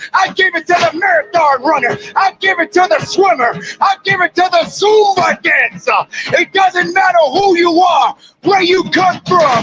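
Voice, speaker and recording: Shouting in an extremely high pitch, a man sounds animated and passionate, with ordinary pitch variation and a moderate pace. Loudness stays very even, the sound is dry and close with no echo, and noticeable background noise is present. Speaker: motivational speaker. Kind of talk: motivational speech. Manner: loud, shouting; animated, passionate.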